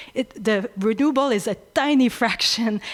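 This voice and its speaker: A woman talks with ordinary pitch variation. The recording is very clean, its background silent. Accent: French. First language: French. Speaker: energy researcher. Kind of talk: audience question at panel. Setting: conference room with audience. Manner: halting, many fillers.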